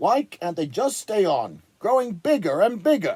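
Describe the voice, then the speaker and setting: Putting on a gruff, growling character voice, a man talks at a moderate pace in a high pitch with very wide pitch swings. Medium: read story.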